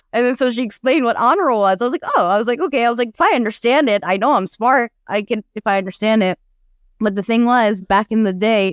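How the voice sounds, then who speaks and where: With an American accent, a woman speaks at a fairly quick pace with ordinary pitch variation. The sound is dry and close, with no echo. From Afghan refugee family via Pakistan, raised in the US from age five. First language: Dari / Farsi. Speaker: nonprofit co-founder, domestic abuse advocate. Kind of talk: podcast interview.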